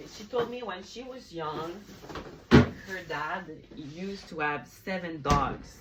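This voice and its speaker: A woman's very slow delivery in a Quebec accent with lively intonation. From Montreal, Quebec. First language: French. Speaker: vlogger. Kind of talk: casual vlog chat. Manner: hesitant, frequent fillers.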